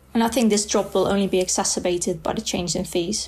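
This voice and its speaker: A woman with a Dutch accent speaks at a medium pitch in a dark, mellow tone with fairly even intonation. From Netherlands. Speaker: student. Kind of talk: reading aloud.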